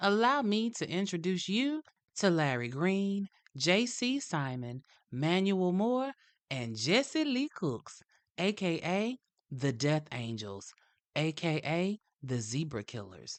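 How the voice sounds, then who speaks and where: In a Southern US accent, a woman with a fairly low pitch speaks at a very slow pace with very wide pitch swings, the sound dry and close with no echo. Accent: southern drawl. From US South. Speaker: true crime podcast host. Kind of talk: scripted narration. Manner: animated.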